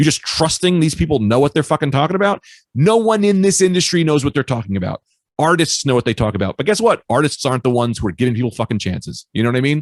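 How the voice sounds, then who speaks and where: Loud and animated, a man speaks at a very fast pace with very wide pitch swings and a fairly high pitch. The sound is dry and close, with no echo. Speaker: stand-up comedian. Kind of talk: casual chat. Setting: podcast interview.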